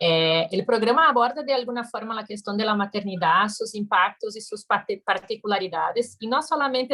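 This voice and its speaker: A woman's fairly high voice with a Brazilian accent at a moderate pace. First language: Portuguese (speaking Spanish). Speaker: audience member asking a question. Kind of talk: conference Q&A question.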